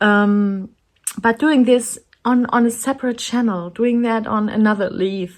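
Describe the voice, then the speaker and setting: A woman with a German accent, fairly high in pitch, at a fairly slow pace with fairly even intonation. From Germany. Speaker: artist and coloring channel creator. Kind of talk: casual chat. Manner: halting.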